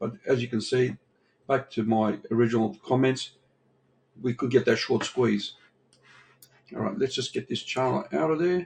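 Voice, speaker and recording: With long, frequent pauses and vocal fry, a man talks at a moderate pace and medium pitch, using ordinary pitch variation. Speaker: crypto trading analyst. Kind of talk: chart analysis tutorial. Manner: casual, conversational.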